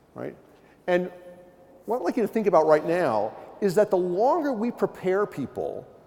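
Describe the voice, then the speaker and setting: His pitch swings very widely as he talks. This man keeps a moderate pace. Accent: American. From US East Coast. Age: 60s. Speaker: professor. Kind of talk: keynote lecture. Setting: conference stage with audience. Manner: animated.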